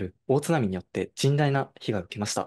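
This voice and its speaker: A man with lively intonation. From Japan, Fukushima, Koriyama; Fukushima, Japan. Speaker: university student intern; presenter. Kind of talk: online presentation. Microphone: video call.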